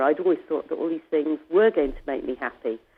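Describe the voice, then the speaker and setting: The speaker is a woman. She talks in a British accent. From England. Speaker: author and ocean rower. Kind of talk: interview. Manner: hesitant, many fillers.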